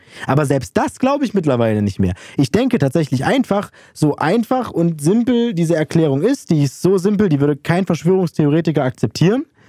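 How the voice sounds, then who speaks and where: A high male voice with a dark, mellow tone, fairly quick pace, very wide pitch swings and very even loudness, in dry, close sound with no echo. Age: 20s. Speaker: student radio podcast host. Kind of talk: casual chat. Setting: recording remotely from separate location.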